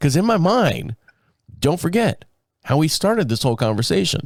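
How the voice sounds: Raspy and with vocal fry, a man speaks with big pitch swings. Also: fairly high pitch for a man, moderate pace.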